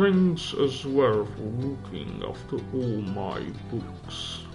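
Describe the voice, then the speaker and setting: A put-on character voice moves at a very slow pace. Loud music plays behind it. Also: man. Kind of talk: formal, courtly. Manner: hesitant, stammering.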